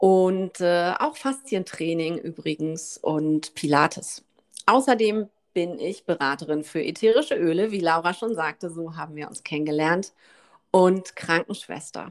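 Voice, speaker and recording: A woman with an unremarkable speaking voice and medium pitch talks at a fairly slow pace with lively intonation, in a very clean recording with a silent background. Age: 40s. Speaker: yoga teacher and podcast co-host. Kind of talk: casual chat.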